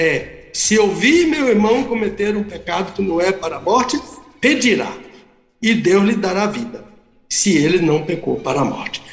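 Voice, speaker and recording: Against audible room echo, a man with a high pitch and lively intonation talks at a moderate pace. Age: 70s. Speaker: pastor and theology professor. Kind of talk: radio Bible teaching.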